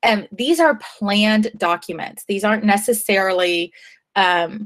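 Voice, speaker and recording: A woman with a plain, everyday voice speaks at a medium pitch and fairly slow pace, with ordinary pitch variation. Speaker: high school teacher. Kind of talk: online class lesson.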